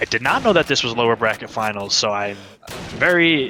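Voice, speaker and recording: The speaker is a man at a medium pitch. He talks at a very fast pace over noticeable background noise. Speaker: esports caster. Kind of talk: live commentary. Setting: at home. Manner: quiet.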